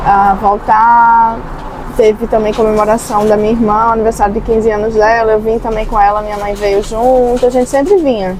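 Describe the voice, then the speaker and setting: A woman with a Pernambuco accent and a fairly high voice speaks at a moderate pace with flat, monotone intonation, over noticeable background noise. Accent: Pernambuco (northeastern Brazilian). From Brazil, Recife, Pernambuco (Northeast). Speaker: nurse, immigrant interviewee. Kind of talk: interview.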